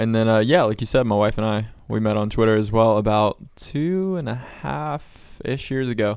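In a very clean recording with a silent background, a man with an American accent uses a normal speaking voice at medium pitch, ordinary pitch variation and a fairly slow pace. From Florida. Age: 20s. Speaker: evangelist. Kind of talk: casual chat.

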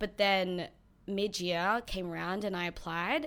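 In an Australian accent, a woman talks at a fairly slow pace with a medium pitch and ordinary pitch variation. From born in New Zealand, Filipino heritage. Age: 20s. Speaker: nail technician. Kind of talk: casual interview. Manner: talks through a smile; bubbly, energetic.

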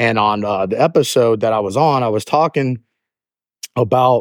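A man with a Southern US accent speaks at medium pitch with ordinary pitch variation, recorded very cleanly with a silent background and a dry, close sound with no echo. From US South, Georgia (Jonesboro). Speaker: podcast host, motivational speaker. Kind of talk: motivational talk. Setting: outdoors, walking. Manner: halting, many fillers and restarts.

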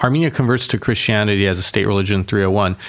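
In an American accent, a man with a normal speaking voice talks at a fairly low pitch with ordinary pitch variation. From Boston, US. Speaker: mayor. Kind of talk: casual interview conversation.

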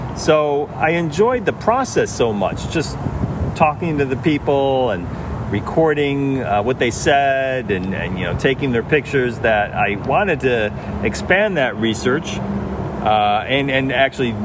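Through noticeable background noise, a man with an American accent talks at a fairly slow pace in a medium-pitched voice with ordinary pitch variation. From upstate New York. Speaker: educator and writer. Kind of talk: interview. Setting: outdoors in a park.

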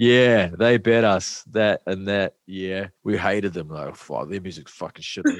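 A man's normal speaking voice, fairly low in pitch, at a fairly slow pace with ordinary pitch variation and hardly any pauses. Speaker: musician. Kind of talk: casual chat.

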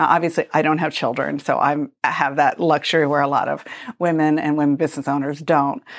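A woman with a very deep, low pitch talks at a very fast pace in a monotone, flat intonation, her loudness very even. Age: 50s. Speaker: interior design and construction business owner. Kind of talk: casual interview chat.

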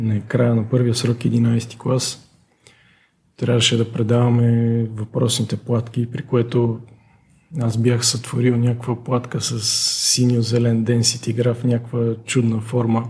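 A man at medium pitch, somewhat breathy and dark and mellow in tone, speaking very slowly in a flat monotone. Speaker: alpine skier and former student. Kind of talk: interview. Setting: studio.

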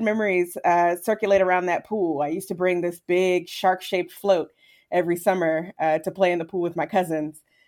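In a plain, everyday voice, a woman with an American accent speaks at a fairly low pitch with ordinary pitch variation. She moves at a fairly quick pace in a very clean recording with a silent background. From Virginia. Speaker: historian. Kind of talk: interview.

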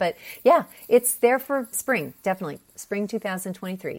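In an American accent, a woman talks at a fairly quick pace with lively intonation and a fairly high pitch. The recording is very clean, with a silent background. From Pennsylvania. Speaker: personal stylist. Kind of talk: interview. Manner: animated.

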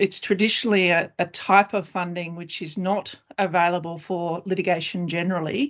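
Over a quiet background, a woman with a normal speaking voice talks at a fairly low pitch with fairly even intonation. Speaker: class actions lawyer. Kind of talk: professional panel discussion.

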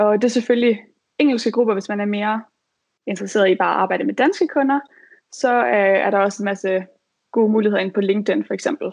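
This woman has a fairly high pitch with ordinary variation, talking at a very fast pace broken by long, frequent pauses. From Denmark, Aarhus. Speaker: virtual assistant. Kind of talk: advice talk.

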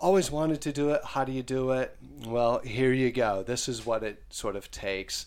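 In an unremarkable speaking voice, the speaker talks at a moderate pace with ordinary pitch variation on a very clean recording with a silent background. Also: man. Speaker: funeral director and podcast host. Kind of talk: casual chat.

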